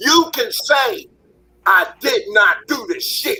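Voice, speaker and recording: A man's raised, projected voice at an extremely high pitch. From West Philadelphia. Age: 60s. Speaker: panelist. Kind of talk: heated debate. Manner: animated.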